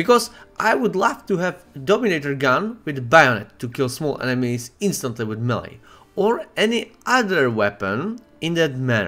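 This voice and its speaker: A man with a non-native accent talks at a moderate pace in a fairly high pitch, his bright, sharp tone moving through very wide pitch swings. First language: Czech. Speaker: gaming streamer. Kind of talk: casual video monologue. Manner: halting with fillers.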